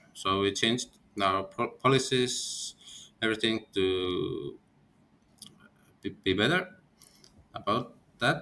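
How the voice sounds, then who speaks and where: Very slowly, a man with an Estonian accent speaks, leaving long, frequent pauses. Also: medium pitch for a man, lively intonation. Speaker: company founder. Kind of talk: interview. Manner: halting.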